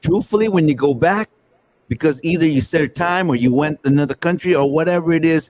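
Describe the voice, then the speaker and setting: A plain, everyday voice with an American accent moves at a fairly quick pace, keeping very even loudness and ordinary pitch variation in a dry, close sound with no echo. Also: man, fairly high pitch for a man. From Northern California. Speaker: podcast host. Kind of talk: casual chat.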